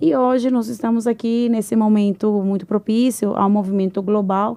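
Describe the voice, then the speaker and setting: In a Venezuelan accent, a woman speaks at a fairly high pitch with ordinary pitch variation. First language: Spanish (speaking Portuguese). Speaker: engineer and entrepreneur. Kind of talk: podcast interview.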